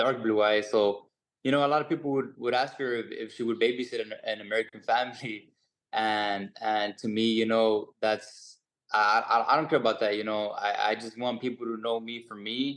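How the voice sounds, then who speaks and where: Speaking with a slight Mexican accent, a man talks at a moderate pace in a medium pitch with fairly even intonation against a quiet background. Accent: Mexican Spanish-tinged English, slight. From Mexico. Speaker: boxer. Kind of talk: press conference answer. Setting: video call. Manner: halting, many fillers.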